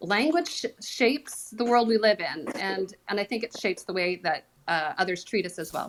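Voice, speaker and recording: A woman speaks fairly quickly with a Canadian accent, her pitch fairly high. It is a plain, everyday voice. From Canada. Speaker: former speech professor. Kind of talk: panel discussion.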